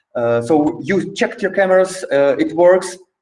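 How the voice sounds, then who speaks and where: Speaking with a Polish accent, this man has a high pitch. His pace is moderate. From Poland. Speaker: trainer. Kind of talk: online training session. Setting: video call. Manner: halting.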